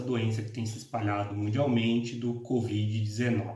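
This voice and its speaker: A man with a Paraná accent at a fairly slow pace, amid noticeable background noise and audible room echo. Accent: Paraná interior. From Brazil, interior of Paraná (Londrina region). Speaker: law professor. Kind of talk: lecture. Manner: halting, many fillers.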